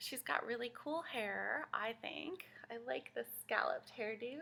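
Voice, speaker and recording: A woman's high, bright, sharp voice at a fairly slow pace. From Guatemala. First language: Spanish. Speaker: children's librarian. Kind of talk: children's storytime reading aloud. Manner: animated.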